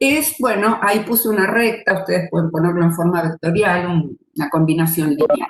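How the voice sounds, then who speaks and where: A woman talks in a normal speaking voice at a medium pitch. Her intonation is lively and her pace moderate. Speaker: retired mathematics professor. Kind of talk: lecture.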